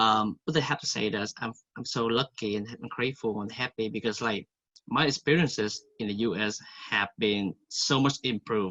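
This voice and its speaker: A man with a Vietnamese accent talks at a moderate pace and medium pitch, with ordinary pitch variation. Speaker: college student. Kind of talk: testimony.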